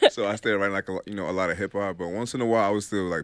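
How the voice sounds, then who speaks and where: The man talks at a very fast pace on a very clean recording with a silent background. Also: dry, close sound with no echo. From Nigeria. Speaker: rapper. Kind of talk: radio interview. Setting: radio studio.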